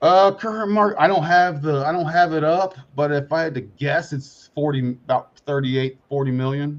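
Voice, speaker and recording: Hardly pausing, a man with a fairly high pitch speaks at a moderate pace with ordinary pitch variation. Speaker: crypto investor. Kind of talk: casual chat. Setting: live stream. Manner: halting.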